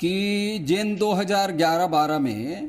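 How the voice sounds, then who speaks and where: A man speaks with ordinary pitch variation. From Chhattisgarh, Mahasamund district (Odisha border). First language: Laria (half Chhattisgarhi, half Odia) (speaking Hindi). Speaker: political panelist. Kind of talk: TV debate.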